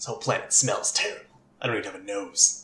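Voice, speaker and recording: A man's put-on character voice at a very fast pace, with a slight echo. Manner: eerie, deadpan.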